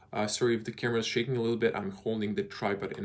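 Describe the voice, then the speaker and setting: Over noticeable background noise, a man with a slight Croatian accent speaks at a fairly low pitch. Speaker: car reviewer, YouTuber. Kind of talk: live stream Q&A. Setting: live video, handheld camera. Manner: hesitant with many fillers.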